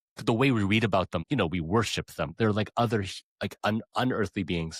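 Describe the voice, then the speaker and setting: This man has a normal speaking voice, fairly low in pitch with ordinary variation, speaking at a moderate pace with a Canadian accent in a dry, close sound with no echo. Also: very clean recording, silent background. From Canada. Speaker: podcast host and pianist. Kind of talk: interview.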